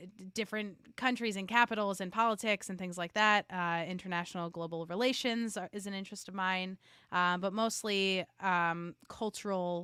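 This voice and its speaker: Speaking with a New York accent, a woman uses a bright, sharp tone at a medium pitch and a moderate pace, with hardly any pauses. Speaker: podcast marketing expert. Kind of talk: interview conversation. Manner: animated.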